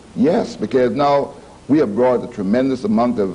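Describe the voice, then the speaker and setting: The intonation is lively and the pace fairly quick, with noticeable background noise. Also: man. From Puerto Rico and US Virgin Islands. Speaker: professor. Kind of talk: TV panel discussion. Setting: TV studio.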